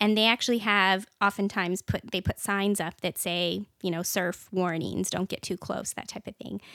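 Speaking in an ordinary speaking voice with an American accent, a woman keeps a moderate pace and fairly even intonation with hardly any pauses. The recording is very clean with a silent background and a dry, close sound with no echo. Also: medium pitch for a woman. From small town in Washington State. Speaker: church member. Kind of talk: casual chat.

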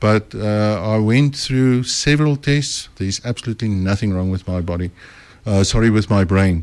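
Here a man with a plain, everyday voice and a fairly low pitch speaks at a moderate pace with ordinary pitch variation, recorded very cleanly against a silent background. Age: 60s. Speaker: author and speaker. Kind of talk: radio interview. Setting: radio studio.

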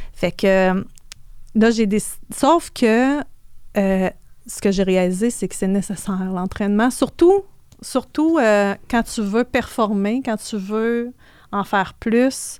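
A woman speaks at a very slow pace, with long, frequent pauses and ordinary pitch variation. The recording is very clean, with a silent background. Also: fairly high pitch for a woman. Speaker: financial services entrepreneur. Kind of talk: interview. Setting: studio.

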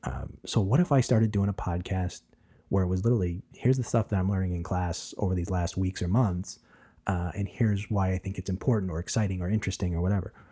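A man speaks very fast in a very deep, low, somewhat breathy voice with a dark, mellow tone, on a very clean recording with a silent background. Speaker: podcast host, seminary student and preacher. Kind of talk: casual interview chat. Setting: studio, face-to-face.

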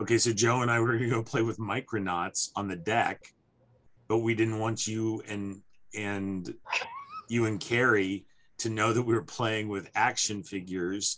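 A man with a fairly low pitch talks in a fairly even intonation against noticeable background noise. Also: moderate pace. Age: 50s. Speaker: podcast host. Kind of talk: casual chat.

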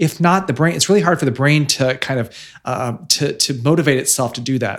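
In a plain, everyday voice, a man with an American accent and fairly high pitch talks at a fairly quick pace with ordinary pitch variation. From central Illinois (Bloomington-Normal). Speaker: author, life coach and radio host. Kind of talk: casual interview. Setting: in person in Chicago.

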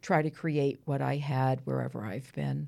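In a very clean recording with a silent background, a woman with an American accent speaks at a moderate pace in a dark, mellow tone. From Gloucester, Massachusetts. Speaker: home cook, retired school district worker. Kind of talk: casual chat.

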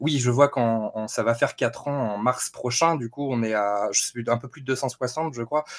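A man with a plain, everyday voice, medium pitch, and ordinary pitch variation. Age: 20s. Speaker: gaming YouTuber and Twitch streamer. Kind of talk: casual interview.

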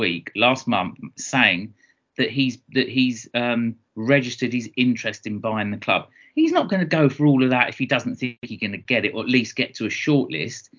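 A man speaks at a medium pitch. He has a southeast English accent. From Kent, southeast England. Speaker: football podcast co-host. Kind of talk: casual chat. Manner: animated.

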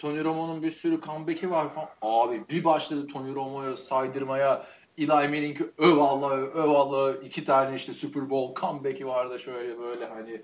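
An ordinary speaking voice moves at a moderate pace with fairly even intonation and hardly any pauses. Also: man, fairly high pitch for a man. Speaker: podcast host. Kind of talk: casual chat.

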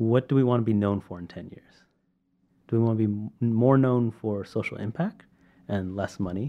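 A man with a Californian accent at a moderate pace, with big swings in loudness. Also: medium pitch for a man, ordinary pitch variation. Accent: Californian American. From California, Sacramento. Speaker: medical device entrepreneur. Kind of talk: interview. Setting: in person at a university.

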